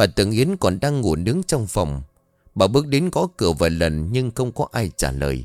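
This is plain reading aloud. The text is read out.

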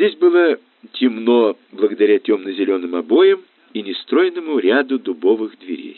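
The speaker is reading aloud in a natural voice. Each line is read out.

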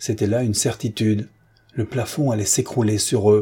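The voice is reading aloud in a natural voice with fairly even intonation.

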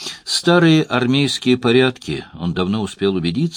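The voice is plain reading aloud. It is read out.

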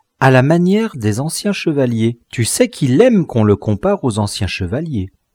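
The speaker is reading aloud in a natural voice.

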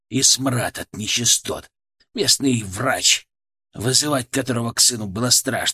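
A quiet background under plain reading aloud

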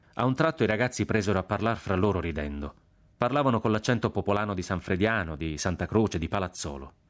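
The pitch moves in a lively way. It comes across as a natural reading voice.

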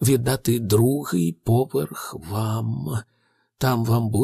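The background is quiet while a natural reading voice reads.

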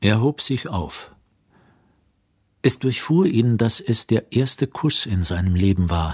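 In a very clean recording with a silent background, a man with a fairly low pitch speaks at a slow pace, his slightly mellow tone carrying a slightly husky edge and lively intonation.

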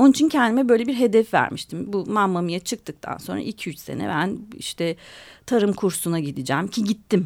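At a moderate pace and medium pitch, a woman speaks with vocal fry and very wide pitch swings on a very clean recording with a silent background. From Istanbul, Turkey. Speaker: author and journalist. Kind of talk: radio interview.

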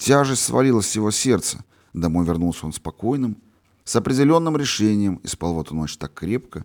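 This plain reading aloud comes with lively intonation.

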